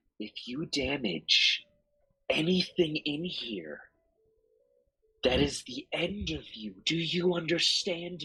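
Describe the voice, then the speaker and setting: In a put-on character voice, a man whispers with a menacing tone at a very slow pace, leaving long, frequent pauses. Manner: menacing whisper.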